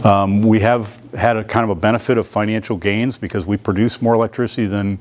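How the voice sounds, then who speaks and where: There is noticeable background noise as a man talks. He moves at a fairly quick pace with fairly even intonation. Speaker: utility executive. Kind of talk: business presentation. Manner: fast.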